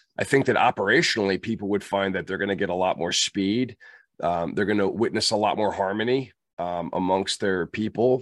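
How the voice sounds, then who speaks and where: Against a quiet background with a dry, close sound and no echo, a man with an ordinary speaking voice talks at a moderate pace in a fairly low pitch with ordinary pitch variation. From US, moved around (Kentucky, Germany, Pittsburgh). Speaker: leadership trainer, former Marine officer. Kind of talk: interview.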